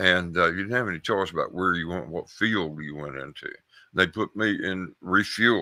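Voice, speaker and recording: A man talks with a very deep, low pitch, a bright, sharp tone and ordinary pitch variation. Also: moderate pace. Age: 70s. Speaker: caller, Air Force veteran. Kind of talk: call-in storytelling. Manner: halting, repeats words.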